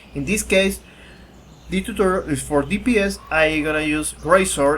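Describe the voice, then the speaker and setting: Noticeable background noise sits behind a voice with a Spanish accent. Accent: Spanish accent, self-described weird. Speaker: gaming youtuber. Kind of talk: tutorial. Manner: halting.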